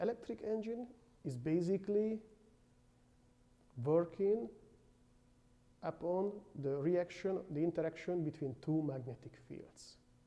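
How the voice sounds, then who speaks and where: With a non-native accent, a man talks at a fairly slow pace, his dark, mellow tone carried by lively intonation. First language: not English. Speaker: university lecturer. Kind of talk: lecture. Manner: halting.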